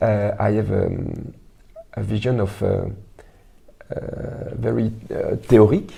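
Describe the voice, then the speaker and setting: Over noticeable background noise, a man with a French accent talks at a very slow pace, with long, frequent pauses. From Belgium. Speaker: writer and actor. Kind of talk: interview. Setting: Belgian embassy. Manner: halting, many hesitations.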